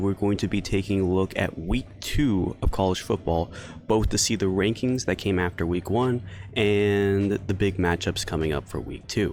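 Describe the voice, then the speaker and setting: A man speaks quietly in a fairly low pitch. He moves at a fairly quick pace. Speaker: sports podcast host. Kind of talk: solo sports commentary podcast. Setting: outdoors in a pavilion. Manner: quiet, subdued.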